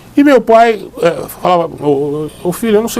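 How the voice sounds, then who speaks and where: A man speaks over noticeable background noise. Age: old. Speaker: lawyer. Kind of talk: interview. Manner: halting.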